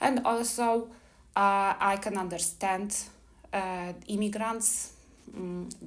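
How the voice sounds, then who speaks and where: A woman speaks very slowly at medium pitch, with fairly even intonation. Her long, frequent pauses ring with audible room echo. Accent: Polish. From Poland. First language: Polish. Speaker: immigration attorney. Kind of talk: seminar presentation. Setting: live seminar with audience. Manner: hesitant, with fillers.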